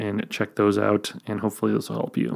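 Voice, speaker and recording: A man speaks quietly at a fairly low pitch. The recording is very clean, with a silent background. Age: 30s. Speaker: YouTuber and filmmaker podcast host. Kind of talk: solo Q&A podcast. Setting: home recording late at night. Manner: hushed, quiet; casual with filler words.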